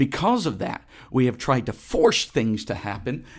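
A man speaks at a moderate pace and medium pitch with an animated tone. The recording is very clean, with a silent background. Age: 30s. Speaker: religious podcast host. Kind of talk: solo podcast devotional monologue.

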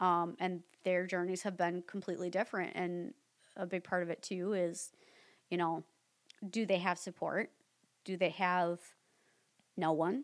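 A woman speaks at a moderate pace with fairly even intonation and long, frequent pauses. The recording is very clean, with a silent background. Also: fairly low pitch for a woman. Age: 30s. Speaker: skincare specialist. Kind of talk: casual chat.

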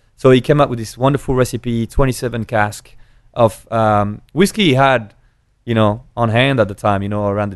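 Here a man speaks with a French accent. He goes at a fairly quick pace against a quiet background. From rural France. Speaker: drinks brand ambassador. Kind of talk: casual interview. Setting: in person, seated. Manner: animated.

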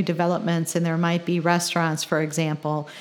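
A woman talks with an American accent. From Chicagoland area, Illinois. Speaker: city council member. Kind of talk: interview.

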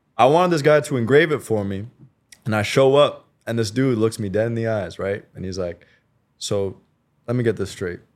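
A man at a medium pitch and moderate pace, with lively intonation and long, frequent pauses, on a very clean recording with a silent background. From Canada. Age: 20s. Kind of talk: casual interview conversation.

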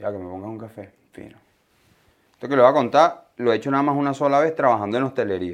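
A man speaks with a Venezuelan accent against a quiet background. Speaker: podcast co-host. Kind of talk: casual chat.

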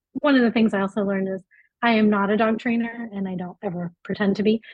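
A somewhat breathy woman with a Californian accent, fairly high in pitch, with fairly even intonation and a fairly quick pace. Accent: Californian American. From South Africa. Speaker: pet travel website founder. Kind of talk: casual interview.

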